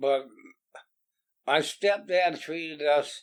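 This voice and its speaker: Very slow speech comes from a man with an American accent. His pitch shows ordinary variation. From Bel Air area, US. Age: 70s. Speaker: interviewee sharing life story. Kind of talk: oral history interview. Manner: halting with repetitions.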